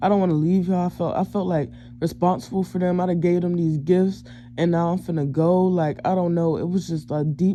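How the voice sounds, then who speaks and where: The speech is mumbled and comes at a moderate pace. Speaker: self-described psychic and empath. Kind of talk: storytime talk to camera. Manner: mumbling; casual, slangy.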